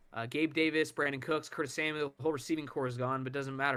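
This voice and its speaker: A man's bright, sharp voice, fairly high in pitch, at a fairly quick pace. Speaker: sports podcast co-host. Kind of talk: casual sports chat. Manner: fast; sarcastic, joking.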